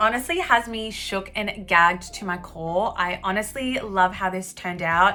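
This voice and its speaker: Someone with an Australian accent speaks in an upbeat, bubbly tone over music in the background. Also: woman. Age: 20s. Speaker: beauty YouTuber. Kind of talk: makeup tutorial talk to camera.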